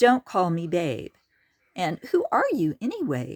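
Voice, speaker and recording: A female-sounding voice does a put-on character voice at medium pitch and a fairly slow pace. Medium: read story.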